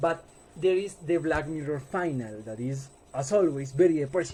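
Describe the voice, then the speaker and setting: Speaking at a fairly slow pace, a man with a Colombian accent has a fairly high pitch and a dark, mellow tone that is somewhat breathy. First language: Spanish. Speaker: student. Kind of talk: class presentation. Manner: halting.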